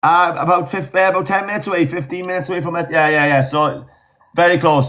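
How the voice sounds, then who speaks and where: Talking at a very fast pace in a Welsh accent, a man keeps his intonation fairly even at a high pitch. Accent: Welsh, mistaken for Australian. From South Wales valleys. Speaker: agency team manager, live streamer. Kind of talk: casual chat.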